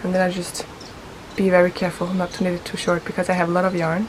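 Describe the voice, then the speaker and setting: Noticeable background noise runs under a woman speaking at medium pitch and a fairly quick pace. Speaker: knitting vlogger. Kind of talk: casual vlog chat. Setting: outdoors.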